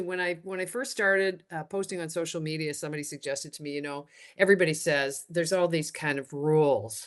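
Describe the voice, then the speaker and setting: In a Canadian accent, a woman talks at a fairly quick pace with a fairly low pitch. Her pitch varies in an ordinary way, and the background is quiet. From Canada. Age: 60s. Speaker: retired TV and radio host. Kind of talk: podcast interview. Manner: halting, many restarts.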